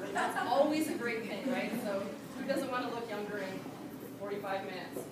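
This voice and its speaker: Over noticeable background noise and audible room echo, a woman speaks loudly at a fairly quick pace. Her pitch is high, with ordinary pitch variation. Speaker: direct sales distributor. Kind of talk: product demonstration at a team meeting. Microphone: speaking without the mic.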